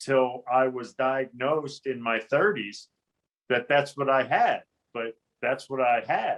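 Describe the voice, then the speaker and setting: The man's voice sits at a medium pitch with fairly even intonation. He speaks at a fairly slow pace. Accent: western Pennsylvania. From western Pennsylvania, Johnstown. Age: 50s. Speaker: navy veteran, advocacy group president. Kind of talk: interview.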